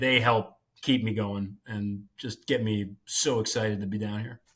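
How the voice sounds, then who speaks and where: Speaking with an American accent, a man has a medium pitch. He talks at a fairly slow pace. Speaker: rowing coach. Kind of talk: interview. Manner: loud.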